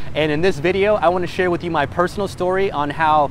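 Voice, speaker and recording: A high-pitched man at a fairly quick pace, with ordinary pitch variation and noticeable background noise. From Mexico. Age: 20s. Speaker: entrepreneur, vlogger. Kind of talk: personal story vlog. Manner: casual, conversational.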